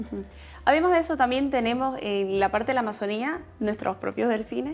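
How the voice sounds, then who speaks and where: With music playing in the background, a woman speaks fairly quickly in a high pitch with lively intonation. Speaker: beauty pageant contestant. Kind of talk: interview answers.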